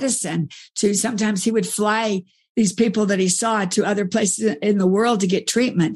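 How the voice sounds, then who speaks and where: A woman's medium-pitched, somewhat breathy voice at a fairly quick pace, with very even loudness, fairly even intonation and a quiet background. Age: 60s. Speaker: author and speaker. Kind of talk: interview conversation.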